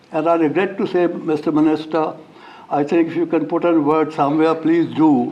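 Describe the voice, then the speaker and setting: Room echo is audible around a man with a fairly high pitch. Background noise is noticeable too. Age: 90s. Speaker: former diplomat. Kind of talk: formal speech. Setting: stage with audience. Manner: halting.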